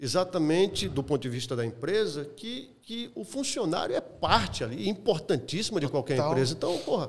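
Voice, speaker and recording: This man speaks at a fairly high pitch and a moderate pace, with hardly any pauses. His pitch swings very widely. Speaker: sports broadcaster (narrator), podcast guest. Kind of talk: podcast interview answer, conversational.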